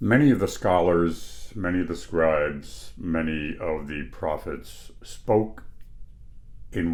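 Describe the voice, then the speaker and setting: A man with a very deep, low pitch at a very slow pace, with audible room echo. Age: 60s. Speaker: Bible teacher. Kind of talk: lecture. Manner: casual, conversational.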